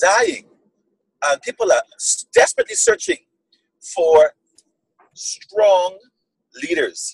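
A man talks at a very slow pace with long, frequent pauses. The sound is dry with no echo, and the background is quiet. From Bahamas. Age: 40s. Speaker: community leader, Toastmasters division director. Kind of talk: interview answer. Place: car. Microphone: video call.

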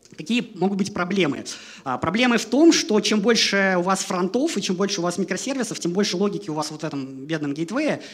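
The pace is fairly quick. Intonation is lively throughout. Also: man, high pitch for a man. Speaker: software developer, conference speaker; conference speaker. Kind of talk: conference talk. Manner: fast. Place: hall. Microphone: headset.

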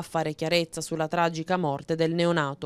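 A woman speaks at a fairly quick pace with a fairly low pitch and monotone, flat intonation. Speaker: local TV news presenter and street reporter. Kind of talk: news reading.

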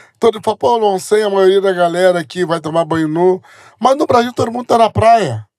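High-pitched for a man, this voice moves at a fairly quick pace with ordinary pitch variation. The background is quiet. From Brazil, Bahia (Jequié); Bahia, Brazil. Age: 40s. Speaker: pastor. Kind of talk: interview. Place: studio. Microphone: studio mic.

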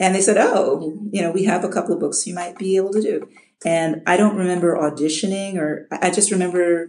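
This woman has a normal speaking voice with an American accent, a medium pitch and ordinary pitch variation. She talks at a fairly quick pace. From US Midwest. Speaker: audiobook narrator. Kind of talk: interview. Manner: many filler words.

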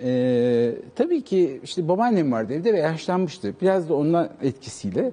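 Barely pausing, a man talks at a moderate pace in a fairly high voice that swings very widely in pitch. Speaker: writer and former TV presenter; talk show guest. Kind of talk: casual interview chat. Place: studio. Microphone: lapel.

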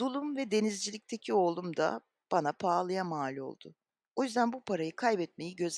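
Intonation is lively in a natural reading voice. Nothing much stirs in the quiet background.

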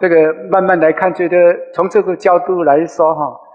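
A man is talking at a moderate pace. Behind him, all is quiet. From Tainan, Taiwan; Taiwan. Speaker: lecturer. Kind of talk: lecture. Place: hall. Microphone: headset.

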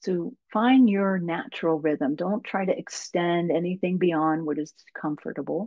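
Against a quiet background, a woman speaks with a fairly low pitch and ordinary pitch variation, the sound dry with no echo. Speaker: yoga teacher and English professor; yoga teacher, English professor. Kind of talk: guided meditation. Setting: video call webinar. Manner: slow, calm, soothing. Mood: calm, soothing guidance. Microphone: webcam.

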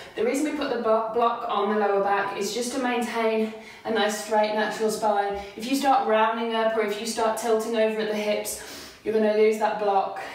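A woman with a fairly high voice talks at a moderate pace in a monotone, flat delivery, with strong room echo around her. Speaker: yoga instructor. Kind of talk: guided yoga workout instruction. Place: home room. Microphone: camera far.

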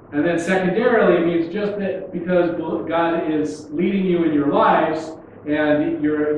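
A man with a high pitch talks at a moderate pace with ordinary pitch variation, set against strong room echo and light background noise. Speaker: pastor. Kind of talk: sermon. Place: church.

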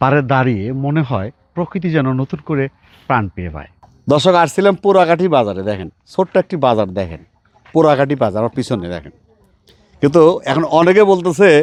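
In a dry, close recording with no echo, a man with a fairly high voice swings very widely in pitch. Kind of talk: vlog walking tour narration. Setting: outdoors, walking through a village.

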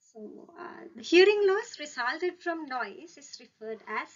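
A woman at a fairly slow pace over a quiet background. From Sri Lanka. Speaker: audiology lecturer and PhD candidate. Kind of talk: webinar lecture. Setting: video call. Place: home room. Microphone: webcam.

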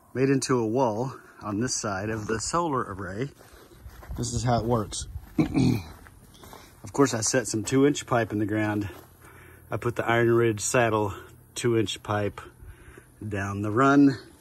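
Over light background noise, a man talks at a fairly slow pace with long, frequent pauses and fairly even intonation. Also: dry sound with no echo. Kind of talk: tutorial. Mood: relaxed, folksy. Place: open country. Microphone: phone near.

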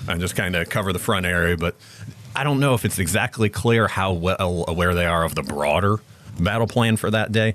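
A man with an American accent, very deep, low pitch, an animated tone, ordinary pitch variation and a very fast pace. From US Midwest, Illinois. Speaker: licensed battlefield guide. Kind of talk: vivid battlefield storytelling, narrating the Floridians' advance over the hills. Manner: animated, building suspense as the assault unfolds.

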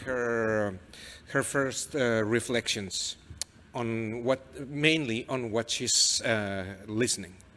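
A man speaks with a Mexican accent. His pitch varies in an ordinary way. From Mexico. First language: Spanish. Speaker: novelist. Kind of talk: reading aloud and onstage interview. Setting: stage with audience. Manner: halting. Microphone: handheld.

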